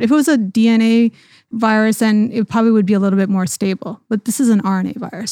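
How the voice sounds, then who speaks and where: This woman has a plain, everyday voice, fairly high in pitch with ordinary variation, at a fairly quick pace. The very clean recording has a silent background and a dry, close sound with no echo. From Canada. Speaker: podcast host, physician. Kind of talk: interview.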